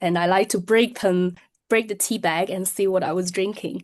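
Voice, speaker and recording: Over a quiet background, a woman talks in a Chinese accent. Her pitch is medium. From China, Shenzhen. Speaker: tea business owner. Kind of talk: interview. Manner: frequent hesitations (um, uh).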